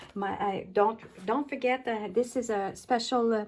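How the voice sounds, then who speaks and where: In a French accent, a woman talks at a fairly slow pace with a fairly high pitch, and the recording is very clean with a silent background. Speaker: paper craft demonstrator. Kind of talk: casual craft tutorial talk to camera. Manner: hesitant, many fillers.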